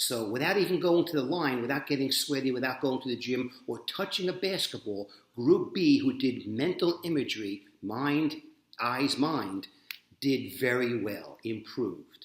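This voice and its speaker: An animated-toned man with lively intonation at a moderate pace. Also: medium pitch for a man. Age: 60s. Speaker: jiu-jitsu practitioner and coach. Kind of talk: motivational monologue.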